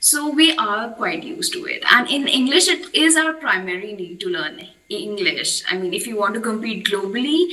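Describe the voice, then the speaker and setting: A woman with an Indian accent speaks at a high pitch with very wide pitch swings and hardly any pauses, amid noticeable background noise. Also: moderate pace. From India, Madhya Pradesh. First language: Hindi. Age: 20s. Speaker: English learner. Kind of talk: casual chat.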